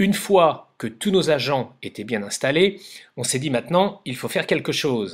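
Here a man has an unremarkable speaking voice, fairly high in pitch, with lively intonation at a moderate pace. The recording is very clean, with a silent background. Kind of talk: comic narrated skit with toy figures, stand-up style. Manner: playful, pointing things out to viewers.

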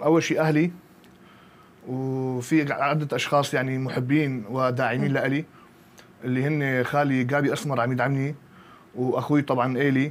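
A man's medium-pitched voice at a moderate pace, monotone and flat, with very even loudness. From Syria, Qamishli; Syria. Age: 20s. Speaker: bodybuilding coach and athlete; bodybuilding coach. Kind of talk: interview. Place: studio. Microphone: lapel.

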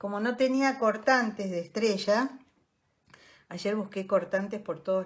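Somewhat breathy, a woman in a Rioplatense accent speaks with ordinary pitch variation. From Greater Buenos Aires, Argentina; Argentina. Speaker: decorative artist and craft teacher; craft teacher. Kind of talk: live online craft tutorial. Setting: online livestream with viewers. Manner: chatty, warm, friendly. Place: home room. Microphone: phone near.

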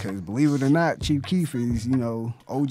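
A man speaks at a fairly quick pace with ordinary pitch variation, in a dry sound with no echo and light background noise. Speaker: guest. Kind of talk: interview answer. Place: studio. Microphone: studio mic.

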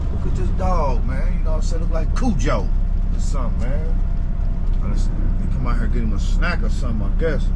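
Moderate-paced male speech amid loud background noise. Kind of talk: casual vlog chat. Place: car. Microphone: phone near.

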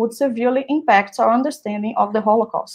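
A high-pitched woman's voice with a Portuguese accent, a fairly quick pace, ordinary pitch variation and a quiet background. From Brazil. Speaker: event organizer and moderator, doctoral student; moderator. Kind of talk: event moderation. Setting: livestream video platform. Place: home room. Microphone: earbuds.

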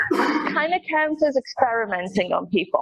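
Over light background noise, a woman talks fairly slowly in a high pitch. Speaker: conference speaker. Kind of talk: lecture. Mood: light, humorous. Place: hall.

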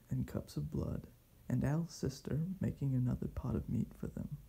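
Soft-spoken and calm in tone, a man talks at a fairly slow pace. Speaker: reader. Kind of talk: soft ASMR bedtime story reading. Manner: soft, calm, sleepy. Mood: calm bedtime, slightly wry. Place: home room. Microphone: camera far.

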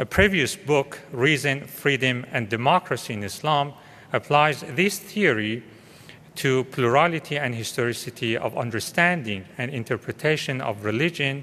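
A man's bright, sharp voice at a moderate pace, with ordinary pitch variation. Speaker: panel chair. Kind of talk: formal introduction. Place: hall. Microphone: podium.

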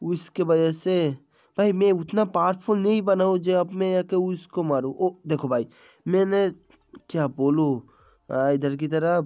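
The man's voice is high-pitched and has a dark, mellow tone. His pitch variation is ordinary and his loudness very even. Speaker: gaming YouTuber. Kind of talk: gameplay commentary. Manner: animated; stumbling over words.

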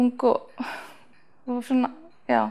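Against a quiet background, a woman speaks in a high voice with a dark, mellow tone. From northeast Iceland, rural Þingeyjarsveit; Iceland. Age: 20s. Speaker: athlete, long jumper and sprinter. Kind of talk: interview. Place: home room. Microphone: lapel.

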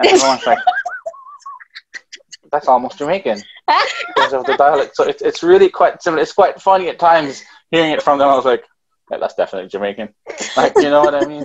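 Light background noise sits behind a man talking at a very fast pace. He takes long, frequent pauses. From Jamaica. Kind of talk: casual interview answer. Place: home room. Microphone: video call.

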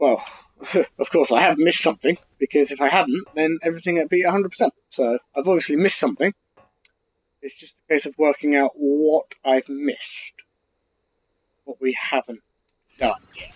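In a British accent, a man with a fairly high pitch speaks at a moderate pace with ordinary pitch variation. There are long, frequent pauses, and the sound is dry with no echo. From UK. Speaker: gaming YouTuber. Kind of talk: casual gameplay commentary. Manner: annoyed, chatty. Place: home room.

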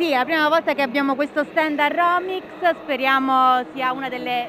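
Over noticeable background noise, a woman projects a raised voice at a moderate pace, with a dry sound and no echo. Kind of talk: interview answer. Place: hall. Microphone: handheld.

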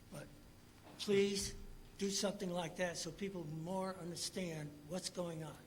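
Against noticeable background noise, a man speaks at a fairly slow pace and high pitch in monotone, flat intonation. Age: 80s+. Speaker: resident speaking at public hearing. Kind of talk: public comment. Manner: halting.

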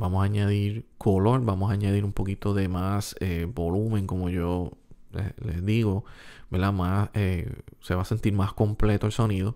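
Against a quiet background, a man talks at a fairly slow pace in a fairly low, dark, mellow voice with monotone, flat intonation. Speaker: music production tutorial youtuber; music producer tutor. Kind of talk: tutorial. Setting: home recording room. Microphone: studio mic.

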